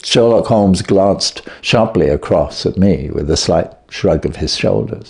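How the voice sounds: A man's low voice with vocal fry, a slightly husky edge and a slightly mellow tone, ordinary pitch variation, at a fairly slow pace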